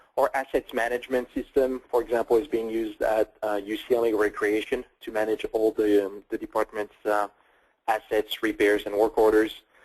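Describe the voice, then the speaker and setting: A man with a French accent speaks at medium pitch and a moderate pace in a monotone, flat intonation, with a dry, close sound and no echo. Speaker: tech company CEO. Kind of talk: webinar product presentation. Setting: online webinar call.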